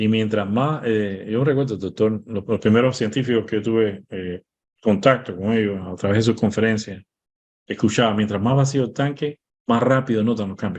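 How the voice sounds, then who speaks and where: A man at a medium pitch, fairly quick in pace, with ordinary pitch variation. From Cuba. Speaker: medical doctor. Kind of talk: interview. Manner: fast.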